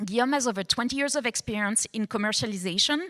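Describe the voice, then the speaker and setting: In a French accent, a woman speaks fairly quickly with a fairly high pitch and lively intonation, recorded very cleanly against a silent background with a dry, close sound and no echo. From France. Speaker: panel moderator. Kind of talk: panel introduction.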